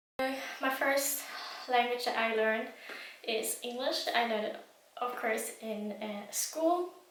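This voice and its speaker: Speaking in a German accent, a woman with a high pitch keeps her intonation fairly even at a fairly slow pace, with audible room echo. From Germany. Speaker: language learning vlogger. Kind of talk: casual vlog talk. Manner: hesitant with many fillers.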